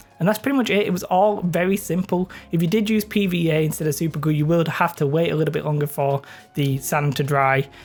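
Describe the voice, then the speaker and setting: Music plays in the background. Over it, a man with a northern English accent speaks at a very fast pace. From northern England. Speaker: miniature painting hobbyist youtuber. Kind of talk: tutorial. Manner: casual, hesitant with many fillers.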